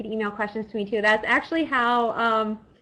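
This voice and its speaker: Over a quiet background, a woman speaks at a fairly high pitch in a bright, sharp tone. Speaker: biologist. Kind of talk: webinar presentation. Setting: online webinar.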